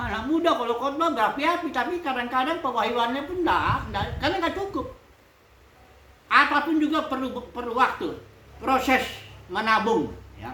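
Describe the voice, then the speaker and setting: A woman uses a raised, projected voice pitched high. Audible room echo surrounds her. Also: ordinary pitch variation, moderate pace. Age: 60s. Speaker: pastor. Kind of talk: sermon. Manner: casual.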